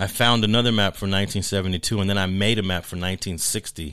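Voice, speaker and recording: A man with an American accent talks at a very fast pace in a fairly low pitch with fairly even intonation. His tone is bright and sharp, in a very clean recording with a silent background. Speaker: sociologist and professor. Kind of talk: interview.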